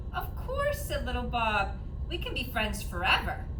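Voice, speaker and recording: Over loud background noise, a put-on character voice talks at a moderate pace. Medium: read story. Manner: eager, plucky.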